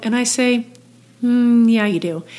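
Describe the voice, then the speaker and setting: This voice belongs to a woman. Her intonation stays fairly even. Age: 60s. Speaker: age group triathlete. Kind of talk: casual interview. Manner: halting.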